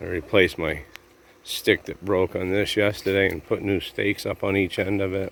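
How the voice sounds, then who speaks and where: Quiet, mumbling male speech at a moderate pace, fairly low in pitch and flat in intonation. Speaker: vlogger filming his dog and garden. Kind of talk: casual vlog narration. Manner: low, quiet voice.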